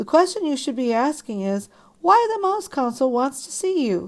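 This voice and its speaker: Putting on a character voice, a woman speaks at a high pitch with very wide swings up and down. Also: moderate pace. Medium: read story. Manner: blunt, exasperated, slangy.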